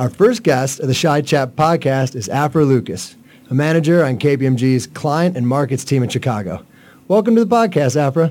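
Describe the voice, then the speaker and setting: A man talks at a moderate pace with lively intonation. He has a normal speaking voice. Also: fairly high pitch for a man. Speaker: podcast host. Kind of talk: casual interview.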